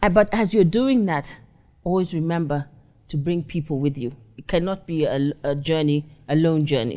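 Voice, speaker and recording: A woman speaks at a moderate pace in a very deep, low voice with a dark, mellow tone and lively intonation against a quiet background. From Kenya. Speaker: oil and gas engineer, business founder; interview guest. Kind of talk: interview, personal story. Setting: studio. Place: studio.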